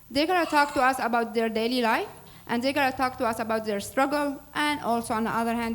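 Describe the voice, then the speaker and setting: A high-pitched woman with an Arabic accent at a fairly quick pace, with fairly even intonation and audible room echo. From Syria. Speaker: nonprofit board president. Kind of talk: public speech introducing a program. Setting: church hall with audience. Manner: formal.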